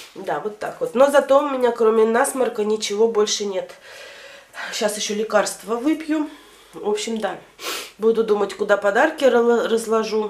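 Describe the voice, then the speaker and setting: A woman speaks at a moderate pace with ordinary pitch variation. Her speech has long, frequent pauses. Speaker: home vlogger. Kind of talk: casual vlog chat. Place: home room. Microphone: phone near.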